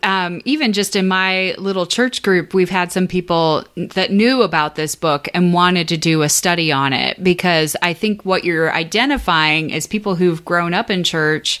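This woman has a normal speaking voice at a medium pitch. She goes at a fairly slow pace. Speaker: podcast host. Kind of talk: casual chat.

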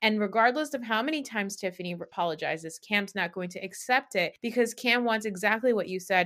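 Using a plain, everyday voice, a woman speaks at a fairly quick pace. Her pitch shows ordinary variation. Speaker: podcast co-host. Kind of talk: casual chat recapping reality TV. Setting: remote recording with video.

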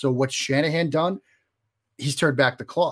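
In a Boston accent, a man speaks at a fairly quick pace. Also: very clean recording, silent background. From Boston area, US. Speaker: sports journalist guest. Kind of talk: interview.

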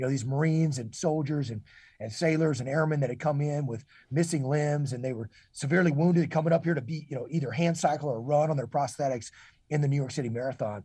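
Over a quiet background, a man with a fairly high pitch and a dark, mellow, somewhat breathy tone races at a very fast pace, his pitch varying in an ordinary way. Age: 40s. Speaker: retired military officer and leadership consultant. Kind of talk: interview. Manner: halting, many repeated words and fillers.

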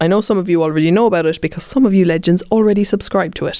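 This woman speaks with a Cork accent. Her pitch is fairly low, with ordinary variation. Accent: Cork Irish. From Ireland, Cork. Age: 30s. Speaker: podcast host. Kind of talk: interview. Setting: studio.

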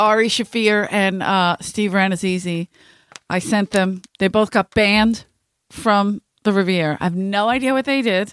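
A woman with a Philadelphia accent speaks at a moderate pace and medium pitch, with fairly even intonation and very even loudness. The sound is dry and close with no echo, on a very clean recording with a silent background. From South Philadelphia. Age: 40s. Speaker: podcast host, comedian. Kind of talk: casual chat.

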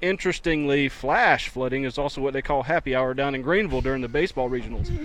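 Fairly even intonation in a man's fairly high voice. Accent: North Carolina. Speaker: weatherman and radio co-host. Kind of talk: casual sports radio banter.

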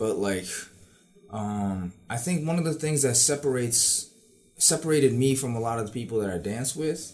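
An ordinary speaking voice from a man with an American accent, medium pitch and lively intonation. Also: moderate pace. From New York City, Queens. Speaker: university student and dancer. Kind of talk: casual chat.

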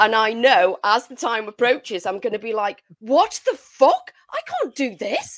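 Speaking with an English accent at a moderate pace and hardly any pauses, a woman swings very widely in pitch and strongly in loudness. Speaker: podcast co-host. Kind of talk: casual chat. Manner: low energy.

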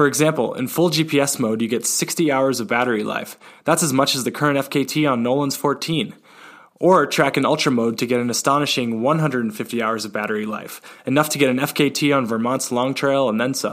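A man talks at a moderate pace with medium pitch and ordinary pitch variation. It is an ordinary speaking voice, in a very clean recording with a silent background. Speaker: podcast host. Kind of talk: casual interview chat.

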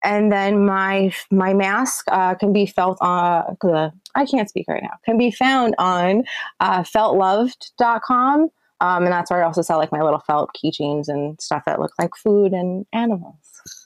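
Recorded with a dry, close sound and no echo, a woman with a plain, everyday voice speaks at a fairly slow pace, using medium pitch and ordinary pitch variation. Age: 40s. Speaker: urban explorer and photographer. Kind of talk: casual interview chat.

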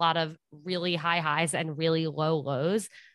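Against a quiet background, a woman with fairly low pitch talks at a moderate pace in a normal speaking voice. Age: 20s. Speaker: dating and relationship podcast host. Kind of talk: casual interview chat.

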